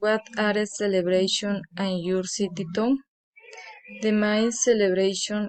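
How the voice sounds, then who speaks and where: A woman with a medium pitch and fairly even intonation talks at a very slow pace. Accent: Spanish. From Colombia, Tolima. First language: Spanish. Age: 20s. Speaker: student. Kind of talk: reading aloud. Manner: halting.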